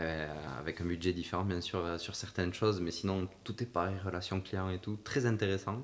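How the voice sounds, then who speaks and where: His pitch is very deep and low. The man talks at a moderate pace with fairly even intonation. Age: 20s. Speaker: podcast host and personal development coach. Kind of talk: casual interview chat.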